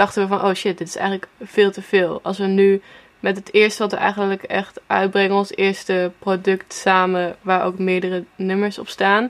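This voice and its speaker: Speaking at a medium pitch and a moderate pace, a woman uses an ordinary speaking voice. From Netherlands, Apeldoorn. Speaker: singer-songwriter. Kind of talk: interview.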